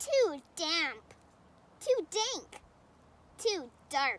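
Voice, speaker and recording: A squeaky, put-on character voice leaps through very wide pitch swings. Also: woman, extremely high pitch for a woman. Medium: read story.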